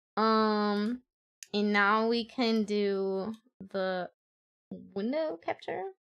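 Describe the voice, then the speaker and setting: A woman with a non-native accent speaks at a very slow pace and a medium pitch. She leaves long, frequent pauses. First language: not English. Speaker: VTuber streamer. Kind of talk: casual live stream chat. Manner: animated.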